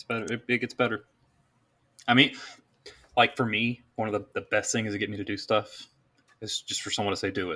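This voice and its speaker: The recording is very clean, with a silent background, and a man of medium pitch speaks fairly quickly in a bright, sharp tone. His intonation is monotone and flat, his loudness swings widely, and he takes long, frequent pauses. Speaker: guest sharing her story. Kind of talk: casual chat.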